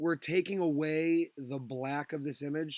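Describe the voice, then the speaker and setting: On a very clean recording with a silent background, a man talks at a fairly high pitch. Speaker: high school graphic design teacher. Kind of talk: tutorial. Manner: casual, filler words.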